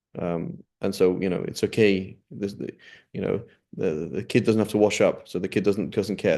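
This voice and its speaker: A man's fairly low, dark, mellow voice at a fairly quick pace, with ordinary pitch variation. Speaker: Islamic studies teacher. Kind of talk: lecture. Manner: hesitant, many fillers.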